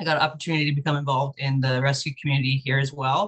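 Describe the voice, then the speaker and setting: In an American accent, a woman talks with a very deep, low pitch. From US West Coast, Los Angeles. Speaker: animal shelter kennel manager. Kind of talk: interview.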